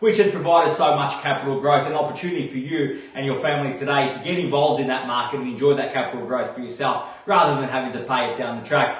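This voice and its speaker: A man with a fairly high pitch speaks at a very fast pace, with hardly any pauses. His tone is energetic and upbeat, his pitch variation ordinary, and there is noticeable background noise. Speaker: auctioneer. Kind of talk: live property auction call. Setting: online auction, phone line. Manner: fast, energetic, upbeat.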